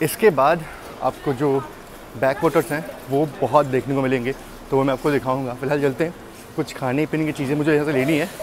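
The sound is dry with no echo, though background noise is noticeable. A man speaks at a moderate pace with fairly even intonation. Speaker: travel vlogger. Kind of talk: casual vlog chat. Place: station. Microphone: earbuds.

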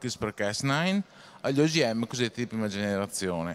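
The man's intonation is lively. He talks at a fairly quick pace. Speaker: audience member asking questions; audience member. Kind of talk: lecture. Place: hall.

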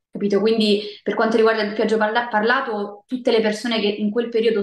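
Audible room echo surrounds a woman whose intonation stays fairly even. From Rome, Italy. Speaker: voice actress and singer. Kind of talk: interview answer. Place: home room. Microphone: video call.

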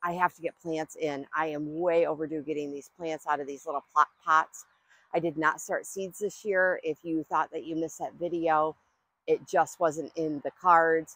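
A woman speaks at a moderate pace in a very deep, low pitch with monotone, flat intonation. The sound is dry with no echo. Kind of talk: casual vlog chat. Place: garden. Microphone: lapel.

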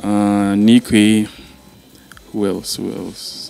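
Dry sound with no echo and faint music in the background. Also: man. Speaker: interviewee. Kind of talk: interview answer. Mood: grateful, reflective. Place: home room. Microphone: handheld.

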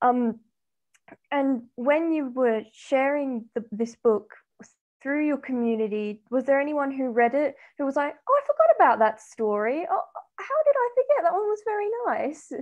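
A woman speaks in a high pitch with lively intonation. Her pace is moderate, and the background is quiet. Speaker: student interviewer. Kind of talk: interview. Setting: video call. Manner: hesitant. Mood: friendly, warm. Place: home room. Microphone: webcam.

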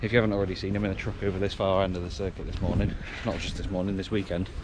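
A man's voice comes through dry and without echo despite loud background noise. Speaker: racing commentator vlogger. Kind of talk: casual vlog chat. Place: street. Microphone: phone near.

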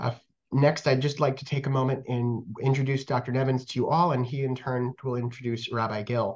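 Against a quiet background, a somewhat breathy man speaks at a fairly quick pace with fairly even intonation. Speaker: museum education manager. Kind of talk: program introduction. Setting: video call. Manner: halting, many fillers. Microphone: webcam.

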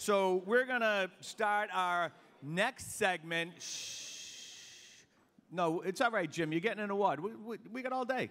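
In a Boston accent, a man speaks with high pitch and a bright, sharp tone. His pace is very slow, with ordinary pitch variation. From South Boston, Massachusetts; Massachusetts. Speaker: master of ceremonies; event emcee. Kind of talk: emcee speech at awards luncheon. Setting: hotel ballroom with audience. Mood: jovial, joking. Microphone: handheld.

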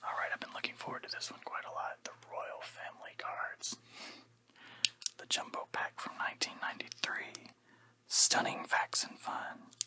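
Someone whispers at a moderate pace. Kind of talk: casual unboxing commentary. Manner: soft ASMR-style quiet voice. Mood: eager, looking forward.

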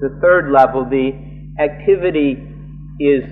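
The speech moves at a very slow pace. Faint music plays in the background. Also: man. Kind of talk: live translation of a sermon. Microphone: old recording.

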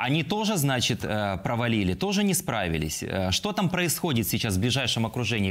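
A man speaks at a fairly quick pace with very wide pitch swings. His loudness stays very even. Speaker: TV news presenter. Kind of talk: broadcast interview. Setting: TV studio. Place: studio. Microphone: lapel.

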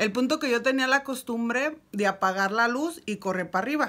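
A woman with a bright, sharp tone, lively intonation and an animated delivery at a very fast pace. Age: 30s. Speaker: YouTuber; storyteller. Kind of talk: storytelling vlog. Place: home room. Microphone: phone near.

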